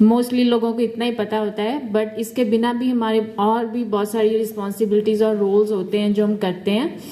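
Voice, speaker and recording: A woman talks at a moderate pace in a fairly high pitch, with hardly any pauses. Her intonation is monotone and flat, and background noise is noticeable. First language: not Hindi-dominant; mixes Hindi and English. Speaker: dental hygiene student. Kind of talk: health presentation.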